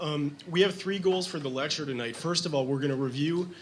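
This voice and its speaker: A man with a fairly high pitch speaks at a fairly quick pace. Room echo is audible around him. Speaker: physician and lecturer. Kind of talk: lecture. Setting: lecture hall with audience, webcast. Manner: halting with fillers.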